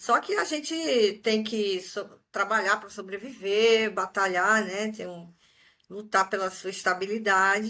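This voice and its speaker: A woman with a fairly high, bright, sharp voice at a fairly slow pace, on a very clean recording with a silent background. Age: 50s. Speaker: retiree, exchange student. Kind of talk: interview.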